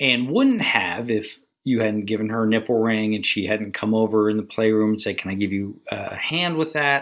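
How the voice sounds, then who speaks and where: In an ordinary speaking voice, a man talks at a moderate pace with fairly low pitch, ordinary pitch variation and hardly any pauses. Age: 40s. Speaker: podcast co-host. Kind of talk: casual chat.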